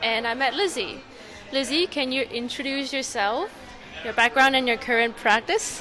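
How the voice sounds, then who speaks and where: Over crowd noise in the background, a woman speaks in a raised, projected voice at a high pitch. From Hong Kong. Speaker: podcast host, physiotherapy student. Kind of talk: interview. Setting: conference dinner event.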